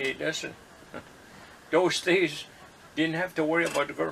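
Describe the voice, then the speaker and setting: Noticeable background noise is present. A man is the one speaking. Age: 70s. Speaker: grandfather. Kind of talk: interview answer. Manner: casual, hesitant.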